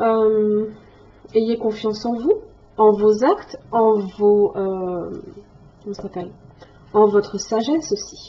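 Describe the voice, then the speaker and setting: Speaking at a very slow pace with long, frequent pauses, a woman with a fairly high pitch keeps a fairly even intonation while her loudness swings a lot. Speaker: tarot reader. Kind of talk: tarot reading monologue. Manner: hesitant, many fillers.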